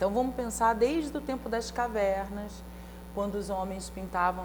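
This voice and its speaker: A woman with a Rio de Janeiro accent speaks at a moderate pace against noticeable background noise. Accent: carioca. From Rio de Janeiro, Brazil. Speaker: writer and university lecturer. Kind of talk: talk show interview.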